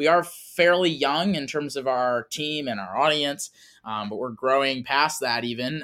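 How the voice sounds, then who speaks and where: Bright, sharp tone from a man with an American accent, fairly high in pitch, at a moderate pace. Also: very clean recording, silent background. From Wisconsin. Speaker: conservative environmental organization founder. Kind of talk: interview.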